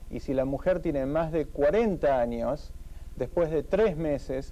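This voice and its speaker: A man talks at a fairly slow pace. His pitch is fairly high, with ordinary variation. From Argentina. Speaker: fertility doctor. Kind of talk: TV interview. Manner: formal.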